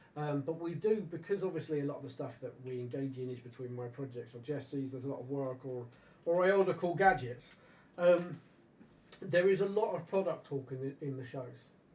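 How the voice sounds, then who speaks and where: Speaking at a fairly quick pace, a man with a fairly high, somewhat breathy voice shows ordinary pitch variation and big swings in loudness. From England. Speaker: live stream host and radio channel owner. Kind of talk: casual chat. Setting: live stream. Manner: animated.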